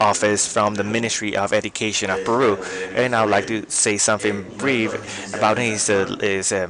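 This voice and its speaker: Against noticeable background noise, a man talks at a moderate pace in a fairly low pitch. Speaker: event moderator. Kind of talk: formal event moderation. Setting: stage event with live audience and online stream. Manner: hesitant, many fillers.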